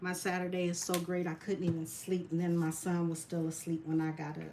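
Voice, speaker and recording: Her pitch fairly low, a woman talks at a moderate pace in a normal speaking voice. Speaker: resin artist, military veteran. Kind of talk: live craft tutorial. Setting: livestream.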